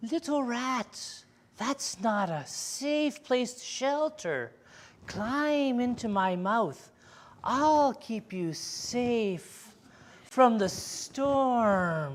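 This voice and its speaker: A woman uses a put-on character voice, high-pitched and hissing. She talks at a very slow pace. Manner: soothing, hypnotic, coaxing.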